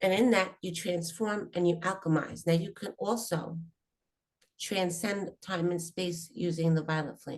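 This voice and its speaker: A woman with a plain, everyday voice speaks at a fairly low pitch with fairly even intonation. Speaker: spiritual teacher. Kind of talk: spiritual workshop talk.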